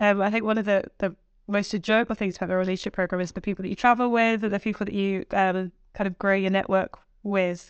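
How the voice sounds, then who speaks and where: Flat and monotone, a woman rattles along at a very fast pace. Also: medium pitch for a woman. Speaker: guest podcast host. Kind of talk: interview conversation.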